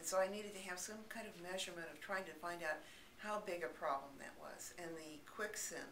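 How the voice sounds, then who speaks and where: Calm, fairly low speech from a woman at a moderate pace, fairly even in intonation, over noticeable background noise. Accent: American. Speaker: audiologist. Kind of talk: explanatory talk to camera. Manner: calm, reassuring, conversational.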